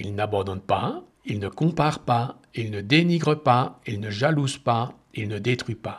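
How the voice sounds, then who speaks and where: Here a man talks fairly slowly. There is some breathiness to his voice. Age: 60s. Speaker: meditation podcaster. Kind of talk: personal monologue. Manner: halting.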